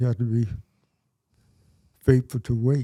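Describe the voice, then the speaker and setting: The voice has a dark, mellow tone and an American accent. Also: man. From Georgia, USA. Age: 80s+. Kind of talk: interview answer.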